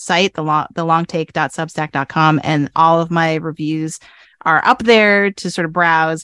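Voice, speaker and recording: With a plain, everyday voice, a woman speaks at a moderate pace with ordinary pitch variation, the sound dry and close with no echo against a quiet background. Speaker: writing professor and pop culture blogger. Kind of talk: casual chat.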